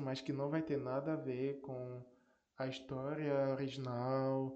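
A man talks at medium pitch with monotone, flat intonation. The room echo is audible. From Northeast Brazil. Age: 20s. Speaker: podcast host. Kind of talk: casual solo podcast talk.

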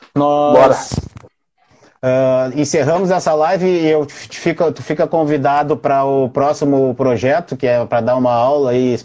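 Noticeable background noise beneath a male voice of medium pitch, moderate in pace with ordinary pitch variation. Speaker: lawyer hosting livestream interviews. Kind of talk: casual livestream interview. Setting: home office livestream.

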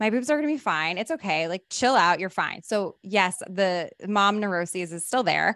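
A woman at medium pitch, lively intonation, moderate pace and hardly any pauses. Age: 30s. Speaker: career coach and actor. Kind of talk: casual chat.

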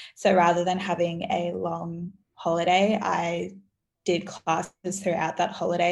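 In an Australian accent, a woman speaks with a fairly low pitch and a somewhat breathy voice. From Australia, Gold Coast. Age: young. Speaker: university student and small business founder. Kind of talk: casual chat.

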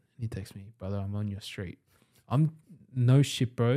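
A man with an Australian accent, a fairly low pitch and a dark, mellow tone, at a fairly quick pace, in a very clean recording with a silent background. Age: 20s. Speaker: entrepreneur. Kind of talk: casual chat.

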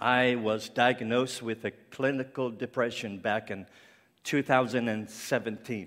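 The man talks at a fairly slow pace in a medium pitch. His intonation is monotone and flat. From Cape Breton Island, Canada. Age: 50s. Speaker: ministry founder and guest speaker. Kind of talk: sermon. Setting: church stage with audience. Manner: halting, with many fillers.

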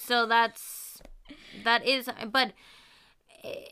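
On a very clean recording with a silent background, a woman with an American accent speaks in a bright, sharp tone with monotone, flat intonation. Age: 20s. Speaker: co-host. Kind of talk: casual chat.

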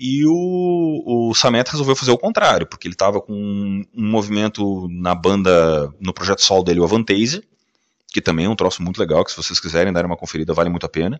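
This man's voice is pitched fairly low. He talks at a fairly quick pace. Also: lively intonation. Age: 40s. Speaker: podcast host. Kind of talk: casual monologue. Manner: animated.

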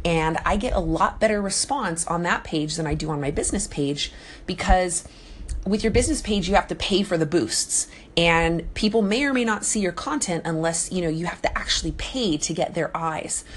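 Her intonation is lively. This woman speaks at a fairly low pitch. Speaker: fellow live audio broadcaster. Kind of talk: recorded voice message advice. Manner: fast talker.

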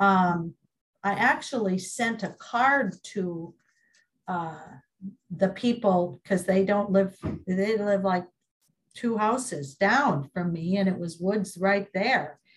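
Speaking very slowly with long, frequent pauses, a woman with a Minnesota accent sounds somewhat breathy and uses ordinary pitch variation. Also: medium pitch for a woman. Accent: Minnesotan American English. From US Midwest. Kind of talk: oral history interview.

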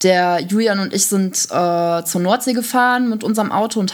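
On a very clean recording with a silent background, a woman with an ordinary speaking voice talks at a moderate pace, her pitch medium with ordinary variation. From Germany, Düsseldorf. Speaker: podcast co-host. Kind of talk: casual chat.

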